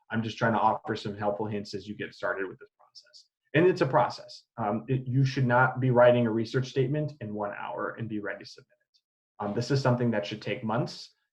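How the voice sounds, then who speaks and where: This speaker has an American accent and a somewhat breathy voice with ordinary pitch variation. The pace is fairly quick, with hardly any pauses and big swings in loudness. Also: man, medium pitch for a man. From US Midwest, Illinois. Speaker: assistant professor. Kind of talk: lecture. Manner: fast; hesitant, many fillers.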